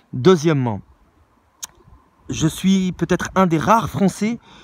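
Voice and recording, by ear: A man talks at a fairly slow pace with lively intonation, and the sound is dry and close with no echo.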